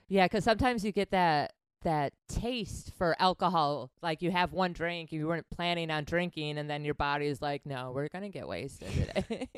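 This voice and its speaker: A woman with an ordinary speaking voice and an American accent talks at a moderate pace with hardly any pauses. Her pitch is fairly low and her intonation lively, in a very clean recording with a silent background. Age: 40s. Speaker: podcast host. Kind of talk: casual chat.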